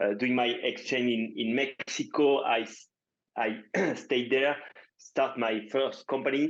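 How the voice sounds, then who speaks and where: Speaking with a French accent, a man keeps to a fairly slow pace. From France. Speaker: startup founder. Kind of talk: interview podcast. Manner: halting, many fillers.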